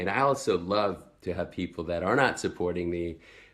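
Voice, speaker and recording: Moderate pace, with an American accent. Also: man. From Sweden. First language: Swedish. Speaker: network marketing entrepreneur. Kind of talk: personal story vlog. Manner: casual, with fillers.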